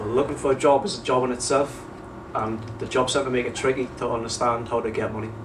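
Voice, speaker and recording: Very fast speech from a man at a medium pitch, fairly even in intonation, against noticeable background noise. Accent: Geordie. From northern England, North Shields. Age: 20s. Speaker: unemployed young person. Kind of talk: documentary interview.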